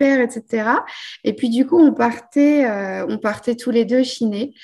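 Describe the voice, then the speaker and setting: Against a quiet background, a woman with a high-pitched voice speaks at a moderate pace with ordinary pitch variation. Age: 30s. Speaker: vintage furniture restorer. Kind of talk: casual chat.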